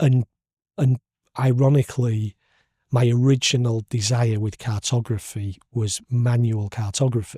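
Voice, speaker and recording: A man with a Hull accent speaks at a medium pitch and a fairly slow pace, his tone dark, mellow, and somewhat breathy. Intonation stays fairly even, and the sound is dry and close with no echo. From northern England, Hull. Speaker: podcast host, cartographer. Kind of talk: casual interview chat. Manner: halting, many repetitions.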